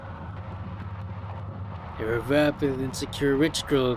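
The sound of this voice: Reading voice, unforced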